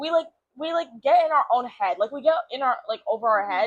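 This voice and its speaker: A woman talks very fast in a high, animated voice with ordinary pitch variation. The sound is dry and close with no echo. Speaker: podcast co-host. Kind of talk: casual chat.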